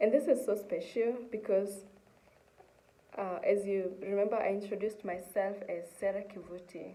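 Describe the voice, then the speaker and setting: In a room with audible echo, a woman at medium pitch speaks at a moderate pace in a dark, mellow tone, her intonation fairly even but her loudness swinging widely. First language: Kikuyu-area Kenyan language (mother tongue). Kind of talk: testimony.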